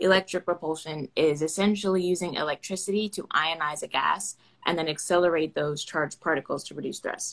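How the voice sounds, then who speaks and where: A woman with an American accent, a plain, everyday voice, and fairly low pitch speaks at a fairly quick pace with fairly even intonation. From Florida, US (Orlando). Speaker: aerospace engineering PhD student. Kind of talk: casual interview. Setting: Instagram Live video call.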